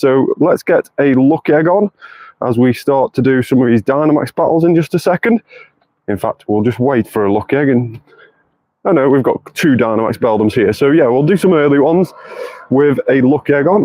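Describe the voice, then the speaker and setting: Talking at a fairly quick pace with a British accent, a man with a fairly high pitch keeps his loudness very even. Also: lively intonation. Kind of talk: live gameplay stream. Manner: animated.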